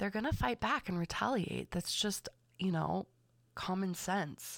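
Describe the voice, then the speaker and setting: A woman with a Californian accent speaks fairly slowly at a fairly low pitch, her pitch swinging very widely. The recording is very clean with a silent background. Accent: Californian American English. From US West Coast, Los Angeles County. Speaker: podcast host and manifestation coach. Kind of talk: casual solo monologue. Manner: chatty, laughs often.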